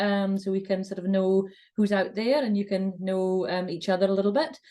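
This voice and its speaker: Speaking with a Shetland accent, a woman has a medium pitch and a dark, mellow tone. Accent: Shetland Scottish. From Scotland, Shetland Islands. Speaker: communications consultant. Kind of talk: webinar presentation.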